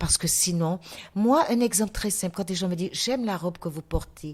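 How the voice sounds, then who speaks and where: In a very clean recording with a silent background, a woman speaks at a moderate pace. Her voice is somewhat breathy and fairly low, with lively intonation. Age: 70s. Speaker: artist and podcast guest. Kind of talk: testimony.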